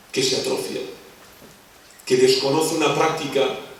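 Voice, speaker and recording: A man with a Catalan accent, amid noticeable background noise and audible room echo. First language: Catalan (speaking Spanish). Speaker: philosopher lecturer. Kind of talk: lecture.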